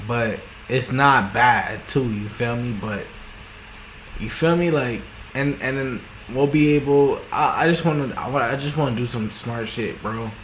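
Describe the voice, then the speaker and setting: A man's mumbling at a medium pitch and fairly slow pace, with audible room echo and noticeable background noise. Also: ordinary pitch variation. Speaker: vlogger. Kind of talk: casual monologue. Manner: halting, many repetitions and restarts; rambling mumbling.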